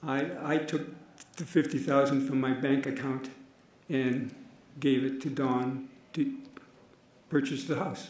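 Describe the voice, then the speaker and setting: Amid noticeable background noise and audible room echo, a man with a fairly high pitch speaks at a fairly slow pace, with fairly even intonation and long, frequent pauses. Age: 80s+. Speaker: trial witness. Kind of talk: court testimony. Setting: courtroom.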